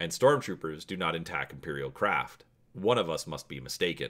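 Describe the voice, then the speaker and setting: A man's put-on character voice, very deep and low, with lively intonation at a moderate pace. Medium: read story. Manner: calm, formal, measured.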